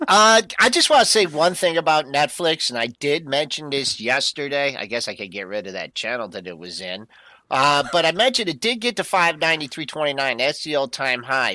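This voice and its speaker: A man speaks with vocal fry and a bright, sharp tone, his pitch swinging very widely and his loudness rising and falling a lot. He leaves hardly any pauses, and the recording is very clean with a silent background. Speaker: market analyst co-host. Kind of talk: live market commentary.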